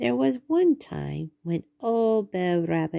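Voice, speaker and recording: Using a put-on character voice, a woman drawls at a very slow pace in a dry, close recording with no echo. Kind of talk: bedtime story. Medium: read story. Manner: folksy drawling dialect.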